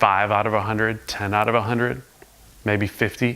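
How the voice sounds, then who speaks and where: A man's fairly low voice at a moderate pace, intonation fairly even, with noticeable background noise. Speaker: motivational speaker and singer. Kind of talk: motivational talk to camera.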